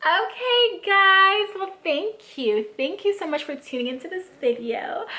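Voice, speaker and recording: Over noticeable background noise, a woman speaks in a raised, projected voice, animated, with very wide pitch swings. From Africa. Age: 20s. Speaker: lifestyle vlogger. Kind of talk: casual advice vlog.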